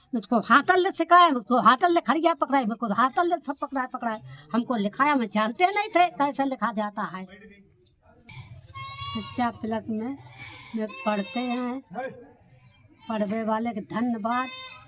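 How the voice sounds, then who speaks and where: Over noticeable background noise, a woman speaks at a high pitch with lively intonation and long, frequent pauses. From Kanpur Dehat, Uttar Pradesh, India. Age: old. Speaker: adult literacy learner. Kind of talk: documentary interview answer.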